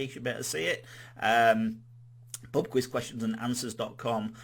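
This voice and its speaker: A man with a Yorkshire accent speaks at a medium pitch. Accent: Yorkshire accent, noticeable. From Yorkshire, northern England. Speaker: quiz host. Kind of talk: live-streamed quiz hosting. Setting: live stream. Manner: casual, chatty, with many fillers.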